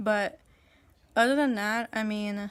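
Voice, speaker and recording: A woman's fairly high voice at a moderate pace, with monotone, flat intonation. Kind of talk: casual vlog update. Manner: slurred, halting speech; pauses to find words.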